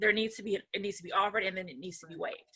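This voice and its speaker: The woman speaks at a medium pitch with a bright, sharp tone. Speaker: real estate agent and lawyer. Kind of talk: educational interview. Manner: fast.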